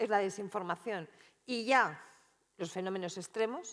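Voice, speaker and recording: A woman speaks at a medium pitch. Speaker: political analyst and researcher. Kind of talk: keynote talk. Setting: conference stage with audience. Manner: fast.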